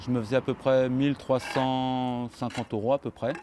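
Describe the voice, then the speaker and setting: Here is a man with a medium-pitched voice. Noticeable background noise runs behind him. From France, Paris suburbs. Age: 30s. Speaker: construction laborer. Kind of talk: interview.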